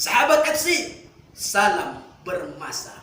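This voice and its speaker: A man's raised, projected voice with an animated tone and lively intonation, amid noticeable background noise and audible room echo. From Riau, Indonesia. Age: 20s. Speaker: preacher contestant, school teacher. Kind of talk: sermon. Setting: online audition.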